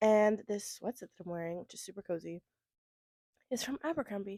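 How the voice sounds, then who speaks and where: In an American accent, a woman speaks at a very fast pace with a dark, mellow tone, a fairly high pitch and ordinary pitch variation, in a dry, close sound with no echo. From Florida. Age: 20s. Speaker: book content creator. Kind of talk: casual chat. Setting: at home, indoors.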